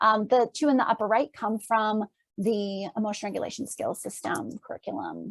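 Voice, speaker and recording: Somewhat breathy, a woman with a fairly high pitch is heard in a dry, close recording with no echo. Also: ordinary pitch variation. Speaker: clinical psychologist. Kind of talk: lecture. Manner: fast; halting.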